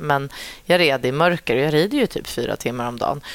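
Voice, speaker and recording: This woman's pitch is very deep and low, with ordinary variation. Vocal fry runs through her voice. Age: 30s. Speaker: dressage rider and trainer. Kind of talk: casual interview. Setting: at a horse show.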